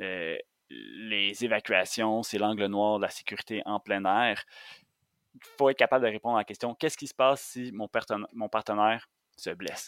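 In an ordinary speaking voice, a man talks at a moderate pace and a fairly low pitch with fairly even intonation, on a very clean recording with a silent background and a dry, close sound with no echo. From Quebec, Montérégie. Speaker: outdoor guide and instructor. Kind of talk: casual interview chat.

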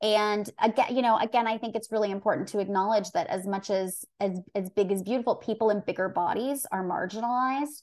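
In an ordinary speaking voice, a woman talks at a fairly quick pace in a fairly high pitch, with hardly any pauses, fairly even intonation and a quiet background. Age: 40s. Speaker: body image coach. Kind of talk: interview.

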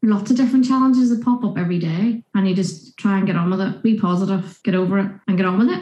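A woman with a Northern Irish accent speaks at a very fast pace with hardly any pauses, her medium-pitched voice somewhat breathy, her tone dark and mellow, and her pitch variation ordinary. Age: 50s. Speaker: nurse and small skincare business owner. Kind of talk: casual interview chat.

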